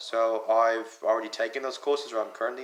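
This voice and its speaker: With a slight British accent, the speaker talks at a fairly quick pace in a monotone, flat intonation. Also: man. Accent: slightly British. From US, North Carolina, Punjabi family. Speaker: college student. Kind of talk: personal explanatory video message. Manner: casual, conversational.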